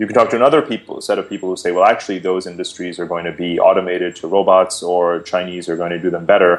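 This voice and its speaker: A man talks at a very fast pace with an Indian accent. His pitch is very deep and low. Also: fairly even intonation. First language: Hindi. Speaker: geopolitics expert and author. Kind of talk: interview. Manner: hesitant, many fillers.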